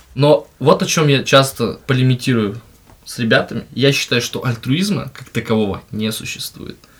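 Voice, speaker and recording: A somewhat breathy man at medium pitch talks at a moderate pace with ordinary pitch variation and big swings in loudness. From remote settlement in Russia, from a small ethnic minority. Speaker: podcast guest, works as a host. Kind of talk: casual chat. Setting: studio.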